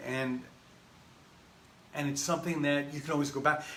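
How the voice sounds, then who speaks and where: A man talks at a fairly high pitch amid noticeable background noise and audible room echo. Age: 60s. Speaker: spiritual teacher. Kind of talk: talk on spiritual wisdom. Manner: halting, with frequent fillers and restarts.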